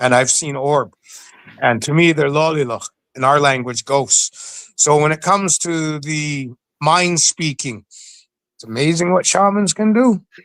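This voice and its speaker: An unremarkable speaking voice from a man, fairly high in pitch with ordinary pitch variation, at a fairly slow pace in a dry, close sound with no echo. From Alert Bay, British Columbia, Canada (First Nation). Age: 60s. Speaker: Sasquatch researcher and store manager. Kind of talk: interview storytelling.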